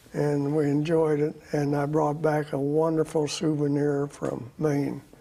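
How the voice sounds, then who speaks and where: Over noticeable background noise, a man with an American accent talks at a fairly slow pace in a fairly high pitch, his intonation monotone and flat. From Oklahoma and Texas. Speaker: Air Force veteran. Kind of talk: interview. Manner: halting.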